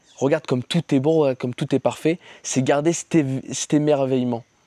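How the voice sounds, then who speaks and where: A man's dark, mellow voice with ordinary pitch variation, in a dry, close sound with no echo. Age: 20s. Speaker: YouTuber and sales coach. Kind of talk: casual vlog monologue. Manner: casual, hesitant with fillers.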